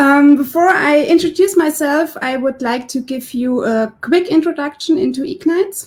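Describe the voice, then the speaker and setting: Speaking in a high voice, a woman keeps a moderate pace. She hardly pauses at all. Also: ordinary pitch variation. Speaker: podcast host. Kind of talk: interview questions.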